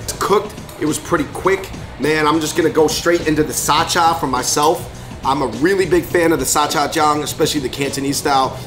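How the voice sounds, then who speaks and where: Clear music sits in the background as a man talks at a fairly quick pace. His intonation stays fairly even. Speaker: food vlogger. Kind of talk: casual vlog chat. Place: cafe.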